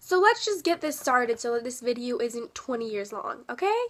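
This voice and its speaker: A woman speaks in a high pitch. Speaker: book vlogger. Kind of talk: casual vlog. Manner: animated.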